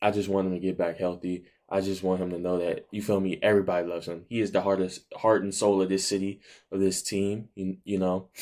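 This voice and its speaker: A man's very deep, low, dark and mellow voice at a very fast pace, monotone and flat, in a very clean recording with a silent background. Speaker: sports reaction youtuber. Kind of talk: casual vlog reaction. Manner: halting.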